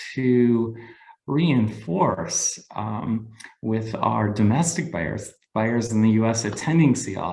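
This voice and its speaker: Very slowly, a man with an American accent speaks in a dark, mellow, somewhat breathy voice with lively intonation. Audible room echo surrounds him. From United States. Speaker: cheesemaker. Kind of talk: webinar presentation. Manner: halting, many fillers.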